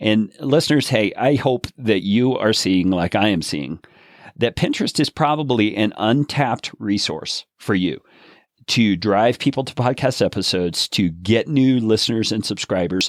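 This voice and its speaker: With a normal speaking voice, a man in an American accent talks at a moderate pace with lively intonation, recorded very cleanly against a silent background with a dry, close sound and no echo. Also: medium pitch for a man. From USA. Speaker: podcast host. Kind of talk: podcast interview.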